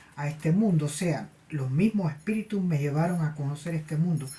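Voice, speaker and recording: A woman speaks in a very deep, low pitch with a dark, mellow tone. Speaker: spiritualist medium and tarot channel host. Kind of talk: personal anecdote monologue. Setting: cold place. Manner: halting, with repetitions and fillers.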